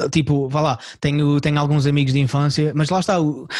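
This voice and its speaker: A man's fairly high-pitched voice with a dark, mellow tone, at a very fast pace. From Portugal, Algarve. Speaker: comedian. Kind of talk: casual chat. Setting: video call.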